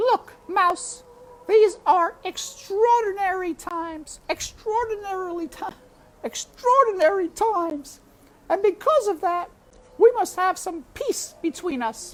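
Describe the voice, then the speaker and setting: An extremely high-pitched, put-on character voice at a fairly slow pace. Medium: read story. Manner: boisterous, folksy, laughs with ho-hee.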